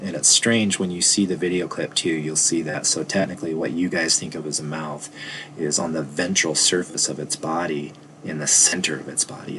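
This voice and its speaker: Over noticeable background noise, a man with a very deep, low voice speaks at a fairly quick pace with fairly even intonation. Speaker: biology teacher. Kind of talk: lecture. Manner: fast.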